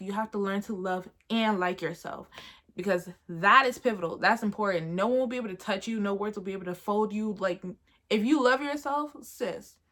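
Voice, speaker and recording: A woman talks at a fairly quick pace in an animated tone. Her pitch is fairly high, with ordinary variation. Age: 20s. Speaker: YouTuber. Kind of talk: casual vlog monologue. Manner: loud, animated.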